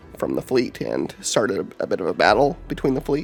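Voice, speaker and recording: A man speaks with music in the background. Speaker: lore video host. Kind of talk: casual lore narration. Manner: hesitant, many filler words.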